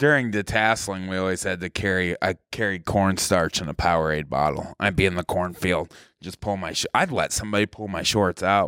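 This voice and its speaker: A man with a very deep, low voice talks at a fairly quick pace with hardly any pauses, his bright, sharp tone and ordinary pitch variation caught in a very clean, dry, close recording with no echo and a silent background. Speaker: comedian. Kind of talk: casual chat. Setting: stage with audience. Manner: downbeat cadence.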